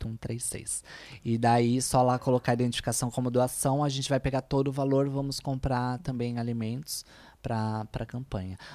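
In a São Paulo accent, the speaker uses a dark, mellow tone and monotone, flat intonation at a moderate pace. The recording is very clean, with a silent background. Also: woman, very deep, low pitch for a woman. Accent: Brazilian Portuguese, São Paulo (paulistano). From Brazil, São Paulo (east side). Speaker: influencer, make-up artist and chef. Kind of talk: casual chat. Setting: studio, streamed live.

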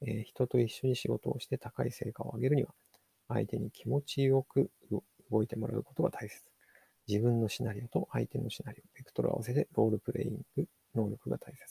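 A man's dark, mellow voice at medium pitch, fairly quick, with ordinary pitch variation and big swings in loudness. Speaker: podcast host, digital marketer. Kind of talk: solo book review podcast. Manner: halting, many fillers.

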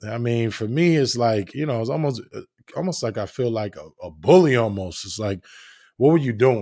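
A man with an American accent talks in an ordinary speaking voice at a medium pitch and moderate pace, with lively intonation and big swings in loudness, in a very clean recording with a silent background. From New Jersey. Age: 30s. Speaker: podcast host. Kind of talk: casual monologue. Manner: relaxed, filler-heavy.

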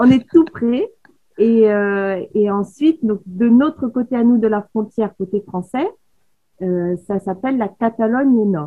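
A somewhat breathy woman's voice, fairly high in pitch, at a very slow pace with ordinary pitch variation. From Paris, France. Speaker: photographer. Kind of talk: casual chat. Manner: sing-song southern intonation.

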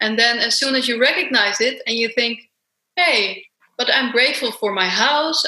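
A woman with a Dutch accent speaks at a fairly quick pace in a fairly high pitch. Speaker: self-love coach and author. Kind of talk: interview.

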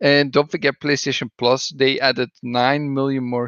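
This voice has a Belgian accent. It moves at a fairly slow pace with fairly even intonation. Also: man. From Belgium. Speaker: podcast co-host. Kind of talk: casual chat. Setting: video call.

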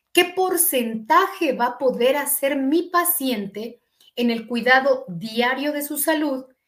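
The pace is very slow. The intonation rises and falls in a lively way. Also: woman, high pitch for a woman. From Mexico, eastern State of Mexico. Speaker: physician. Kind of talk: interview. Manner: hesitant fillers.

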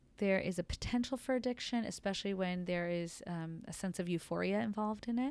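Heard on a very clean recording with a silent background, a woman has an ordinary speaking voice with medium pitch and ordinary pitch variation. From Los Angeles, US. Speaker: emergency physician. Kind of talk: interview. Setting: clinic.

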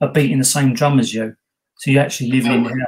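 A somewhat breathy man with monotone, flat intonation. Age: 50s. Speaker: ghost hunter, podcast co-host. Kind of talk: casual chat.

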